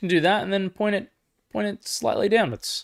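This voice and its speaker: Animated and fairly quick, a man with a slight Australian accent talks in a bright, sharp tone. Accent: mild Australian. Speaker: MMA live-stream commentator. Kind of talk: live reaction stream, casual chat with viewers. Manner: casual, animated.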